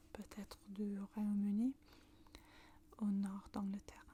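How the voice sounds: A woman with a northern British accent speaks slowly at a medium pitch, her dark, mellow tone held in monotone, flat intonation.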